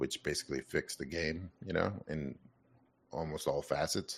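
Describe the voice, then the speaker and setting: The man's voice carries vocal fry. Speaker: podcast host. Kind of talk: casual chat.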